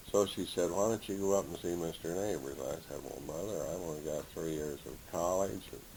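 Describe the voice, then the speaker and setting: A man's very deep, low voice with ordinary pitch variation and a Midwestern American accent, with audible room echo. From Indiana. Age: 70s. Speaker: retired teacher and coach. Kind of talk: oral history interview.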